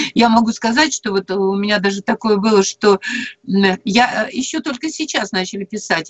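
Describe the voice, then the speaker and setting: A woman at a fairly slow pace. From Perm region, Russia. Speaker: storyteller and former teacher; storyteller, former teacher. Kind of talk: live radio talk. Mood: earnest, animated storytelling. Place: home room. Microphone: video call.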